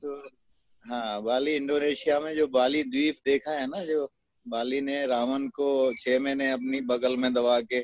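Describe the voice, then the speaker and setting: An ordinary speaking voice belongs to a man of medium pitch whose intonation is fairly even, with a dry, close sound with no echo. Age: 60s. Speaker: network marketing distributor. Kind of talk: interview testimony. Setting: video call.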